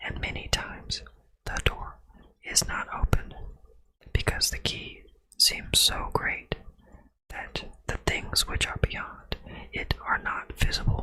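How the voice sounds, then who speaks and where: A man whispering at a very slow pace. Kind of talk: ASMR whisper reading. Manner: whispered.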